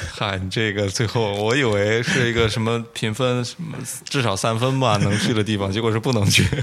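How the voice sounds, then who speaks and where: Over noticeable background noise, a man talks fairly quickly at a medium pitch with fairly even intonation. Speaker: podcast co-host. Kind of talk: casual chat.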